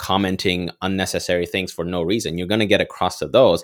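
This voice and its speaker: Someone with a non-native accent speaks at a moderate pace on a very clean recording with a silent background. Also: man. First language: not English. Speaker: developer and content creator. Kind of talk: casual interview chat.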